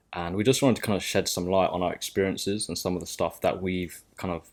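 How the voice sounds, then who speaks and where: A very deep, low male voice in a southern English accent, monotone and flat, on a very clean recording with a silent background. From southern England (Sussex, near Brighton). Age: 20s. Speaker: podcast co-host. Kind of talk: casual chat. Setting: home studio in living room.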